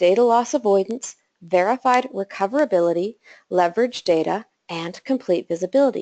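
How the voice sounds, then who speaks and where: A woman's voice swings very widely in pitch. The sound is dry and close, with no echo. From Canada, Calgary. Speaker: systems engineer. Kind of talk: technical webinar presentation.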